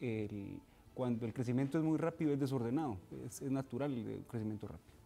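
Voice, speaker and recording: The tone is dark and mellow. A man speaks at a very fast pace. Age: 20s. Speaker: political party secretary general. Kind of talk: TV political interview.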